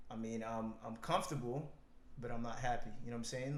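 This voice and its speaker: A man's voice carries audible room echo. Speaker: podcast co-host. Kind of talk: casual chat.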